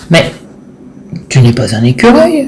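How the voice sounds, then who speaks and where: This is a put-on character voice, pitched in the middle range. It moves along at a fairly slow pace. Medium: read story.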